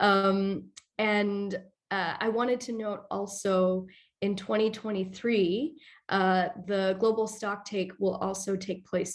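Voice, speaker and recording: A woman speaks very slowly in a monotone, flat delivery on a very clean recording with a silent background. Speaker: presenter at training webinar. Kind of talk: presentation.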